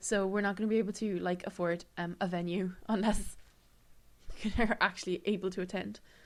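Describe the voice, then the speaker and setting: In an Irish accent, a woman with a medium-pitched voice speaks at a fairly quick pace in a very clean recording with a silent background. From Ireland. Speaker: podcast co-host. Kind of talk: casual chat. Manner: animated.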